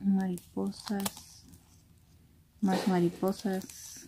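A soft-spoken woman at a very slow pace, with a dark, mellow tone, a slightly husky edge, and monotone, flat intonation. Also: medium pitch for a woman.

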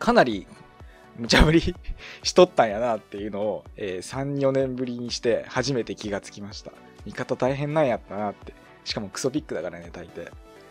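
A man with a medium-pitched voice speaks at a fairly quick pace, his intonation lively and his loudness swinging widely, with music playing behind him. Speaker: Dota 2 commentator and radio-style podcast host. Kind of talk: casual solo podcast talk. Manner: fast, lots of filler sounds.

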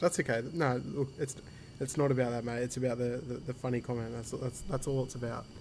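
Against light background noise, a man with an Australian accent speaks fairly quickly with fairly even intonation. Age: 30s. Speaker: flight simulator streamer. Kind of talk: casual chat. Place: home room. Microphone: headset.

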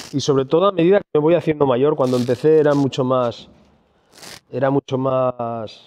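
This man has an ordinary speaking voice. He talks at a moderate pace, fairly high in pitch, with ordinary pitch variation. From Asturias, Spain. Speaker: restaurateur; speaker. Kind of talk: conference talk. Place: hall. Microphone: handheld.

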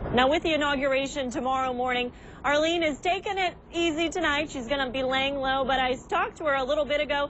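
A woman speaks at a fairly quick pace in a high pitch, with ordinary pitch variation. The sound is dry with no echo, over light background noise. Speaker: TV news reporter. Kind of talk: TV news field report. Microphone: lapel.

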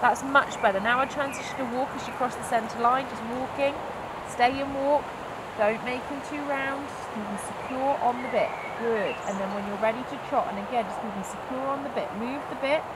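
Speech at a moderate pace competes with loud background noise. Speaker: riding instructor. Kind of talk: lesson coaching instructions. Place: open country.

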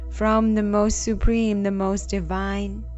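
Music plays behind a woman speaking very slowly. Her tone is calm and soothing. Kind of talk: guided meditation. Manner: slow, calm, soothing.

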